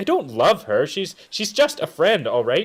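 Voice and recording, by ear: A man's put-on character voice, fairly high for a man, with a slightly husky edge, very wide pitch swings and a fairly slow pace.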